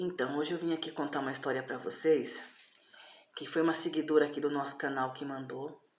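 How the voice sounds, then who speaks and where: A woman's very deep, low voice at a fairly quick pace, monotone and flat, over noticeable background noise. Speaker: storyteller youtuber. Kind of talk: casual storytelling. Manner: conversational, informal.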